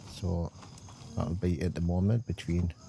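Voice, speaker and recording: A man with a Geordie accent speaks in a very deep, low pitch. His voice is somewhat breathy, with ordinary pitch variation. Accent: north-east English (Geordie). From England. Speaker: gaming streamer. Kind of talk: live gameplay stream chat. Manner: casual, hesitant with fillers.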